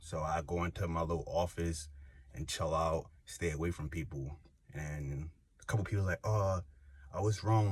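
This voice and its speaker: A somewhat breathy man with a very deep, low voice, on a very clean recording with a silent background. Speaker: YouTuber. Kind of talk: casual vlog monologue. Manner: animated; casual, filler-heavy.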